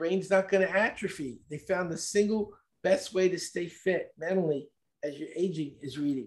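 A man speaks at a moderate pace in a New York accent, his pitch varying in an ordinary way. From US Northeast, Brooklyn, New York. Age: 70s. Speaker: speed reading expert. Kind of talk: interview.

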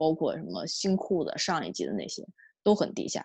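Against a quiet background, a woman talks in a fairly low pitch. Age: 30s. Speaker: podcast guest. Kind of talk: casual chat. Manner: halting, many repetitions.

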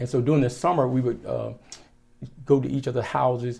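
A man with a Virginia accent has a medium pitch and a dark, mellow tone that is somewhat breathy. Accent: Southern American (Virginia). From rural southeastern Virginia, US South. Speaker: pastor, Air Force veteran. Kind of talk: casual interview. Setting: in person at his church.

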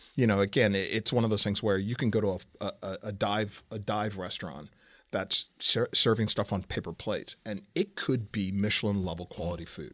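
Recorded very cleanly over a silent background, a man speaks at a fairly quick pace with a fairly low pitch and fairly even intonation. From Southern California. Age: 50s. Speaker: celebrity chef. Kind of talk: casual chat. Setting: studio, across a table. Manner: halting, many repeated words.

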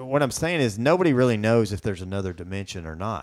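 With a Southern US accent, a man speaks at medium pitch with lively intonation on a very clean recording with a silent background. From US South. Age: 40s. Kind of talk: casual chat. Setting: studio.

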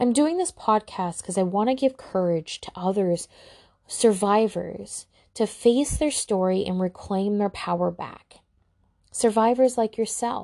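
Speaking at a fairly slow pace, a woman uses a solemn tone with a dark, mellow quality. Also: medium pitch for a woman, ordinary pitch variation, quiet background. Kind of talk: dramatic narration of a personal trauma piece, read aloud like spoken-word poetry. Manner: slow, somber and hushed, with heavy pauses and a sigh, building emotional intensity; solemn, deliberate and intimate, lingering on each image.

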